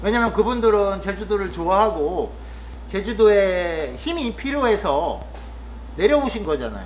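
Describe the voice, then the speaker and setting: The man talks at a fairly slow pace. Noticeable background noise and audible room echo fill the recording. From Chungcheong, Korea. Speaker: vlogger, rural cafe worker. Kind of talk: casual monologue vlog. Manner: hesitant, with frequent fillers.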